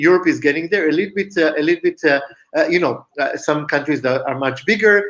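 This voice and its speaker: A man with an Israeli accent talks at a very fast pace in a high pitch. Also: ordinary pitch variation. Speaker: company founder and CEO. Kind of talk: interview. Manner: halting, many fillers.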